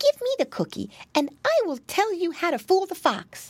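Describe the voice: A woman puts on a character voice at an extremely high pitch with very wide pitch swings. Her tone is slightly mellow and her pace moderate. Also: very clean recording, silent background.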